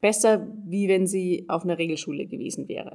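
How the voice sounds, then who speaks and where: In a normal speaking voice, a woman speaks at a medium pitch and a moderate pace with fairly even intonation. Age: 20s. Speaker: trainee educator. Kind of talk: interview.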